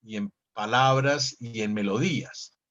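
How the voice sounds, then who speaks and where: This man speaks with ordinary pitch variation. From Colombia, Manizales (coffee region). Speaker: actor. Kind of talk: interview. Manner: halting, repeats words.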